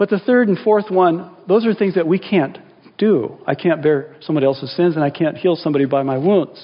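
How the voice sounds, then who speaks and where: This man's voice is high-pitched, with ordinary pitch variation and very even loudness. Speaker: pastor. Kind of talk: sermon. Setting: church. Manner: earnest, intimate, slow prayer voice.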